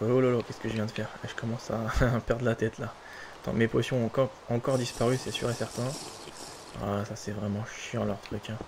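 A man talks at a fairly quick pace and a medium pitch, with flat, monotone intonation. Long, frequent pauses break up his speech over noticeable background noise. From Polish-French. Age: 20s. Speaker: gaming YouTuber. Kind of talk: casual gameplay commentary.

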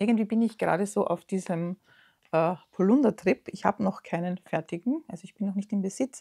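With an Austrian accent, a woman speaks at a fairly quick pace in a dark, mellow, somewhat breathy tone with ordinary pitch variation. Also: quiet background. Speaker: knitting podcaster. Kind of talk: casual show-and-tell vlog; casual vlog chat. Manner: hesitant, many fillers. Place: home room.

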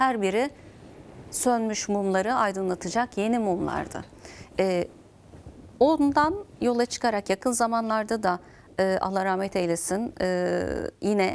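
Medium pitch for a woman, with ordinary rise and fall in her voice. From Turkey. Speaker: program host and interviewer; TV program host. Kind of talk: interview. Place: studio. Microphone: lapel.

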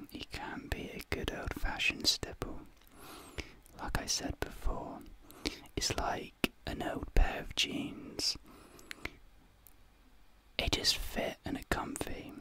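A soft-spoken man whispers at a fairly slow pace with long, frequent pauses and big swings in loudness, the sound dry with no echo over light background noise. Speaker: ASMR creator. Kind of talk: soft ASMR roleplay talk. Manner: soft close ASMR whisper. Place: home room. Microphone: studio mic.

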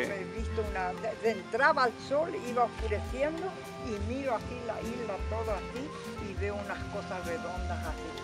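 Loud music fills the background. Over it, a woman talks at a moderate pace. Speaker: local elder recounting memories. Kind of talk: informal interview answer. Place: garden.

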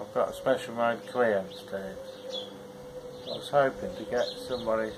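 With clear background noise behind him, a man talks at a moderate pace, his fairly low pitch holding fairly even intonation.

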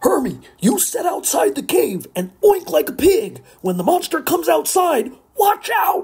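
Putting on a character voice, a man speaks at an extremely high pitch and a moderate pace. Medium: read story. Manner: loud, hearty.

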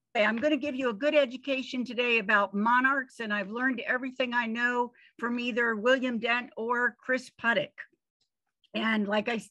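In a high pitch and fairly even intonation, a woman speaks over a quiet background. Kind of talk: presentation talk. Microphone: video call.

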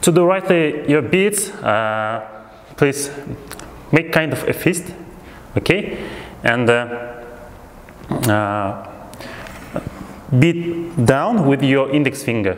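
A man talks at a very slow pace, with long, frequent pauses. Light background noise and audible room echo are present. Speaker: music teacher. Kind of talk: tutorial. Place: home room. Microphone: lapel.

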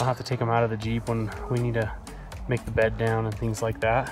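Clear music plays behind a man talking at a very fast pace, the sound dry with no echo. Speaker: camping vlogger. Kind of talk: casual vlog chat. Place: forest. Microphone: phone near.

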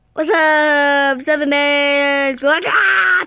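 The pitch sits high. It comes from a put-on character voice. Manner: creepy.

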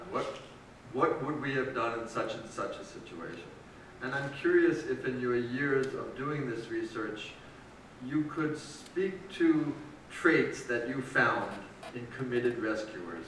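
A man talks at a fairly slow pace with big swings in loudness and ordinary pitch variation, over light background noise in a room with audible echo. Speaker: editor and interviewer; interviewer. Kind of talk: interview at a public book talk. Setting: stage with audience. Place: church. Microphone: camera far.

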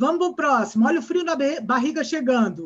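A woman's lively intonation with a Brazilian accent, against a quiet background. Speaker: conference session moderator. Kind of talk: event moderation. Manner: animated. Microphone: webcam.

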